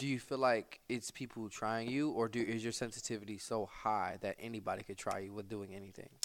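A man with a plain, everyday voice talks at a fairly quick pace with hardly any pauses, his medium pitch following a fairly even intonation. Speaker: podcast host. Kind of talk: casual chat. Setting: studio.

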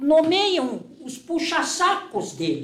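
Lively intonation from a male speaker, with room echo clearly audible. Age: old. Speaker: lawyer. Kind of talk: interview. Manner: halting.

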